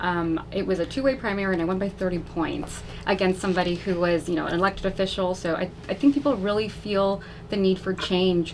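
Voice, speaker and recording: A fairly quick pace in an American accent, with ordinary pitch variation and noticeable background noise. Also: woman, medium pitch for a woman. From Texas, south side of San Antonio. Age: 30s. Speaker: political candidate. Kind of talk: radio interview. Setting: radio studio. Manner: casual, frequent fillers.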